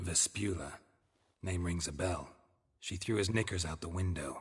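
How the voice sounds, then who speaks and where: This man puts on a character voice with a very deep, low pitch. His delivery is deadpan and moderately paced. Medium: video game. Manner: deadpan, terse.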